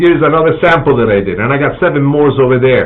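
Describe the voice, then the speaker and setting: A man with a Sicilian accent at a very fast pace and ordinary pitch variation, amid noticeable background noise and audible room echo. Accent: Italian (Sicilian) accent in English. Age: 60s. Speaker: cookbook author and TV chef. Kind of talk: live stream announcement. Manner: halting, many fillers.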